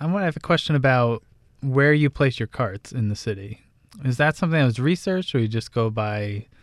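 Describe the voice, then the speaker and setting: Recorded very cleanly with a silent background and a dry, close sound with no echo, a normal speaking voice with an American accent goes at a fairly quick pace with ordinary pitch variation. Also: man. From New Jersey Shore. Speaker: radio host. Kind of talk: radio interview. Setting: radio studio.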